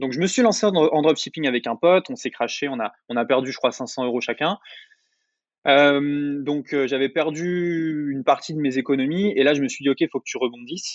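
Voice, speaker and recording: Speaking at a moderate pace, a man with a fairly high pitch and ordinary pitch variation has a plain, everyday voice. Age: 20s. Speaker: online entrepreneur and YouTuber. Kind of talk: interview.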